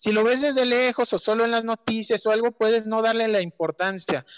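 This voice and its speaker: Recorded dry and close with no echo, a man with a Mexican accent speaks at a moderate pace. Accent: Mexican Spanish (Jalisco). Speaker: local environmental activist on social media. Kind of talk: casual chat.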